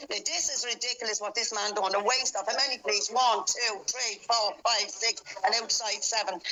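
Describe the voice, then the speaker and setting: Over noticeable background noise, a woman with a Dublin accent talks at a moderate pace and fairly high pitch, with ordinary pitch variation and hardly any pauses. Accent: Dublin Irish. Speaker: mask-exempt protester. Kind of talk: heated argument with police. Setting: phone shop, face to face with police. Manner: loud; forceful.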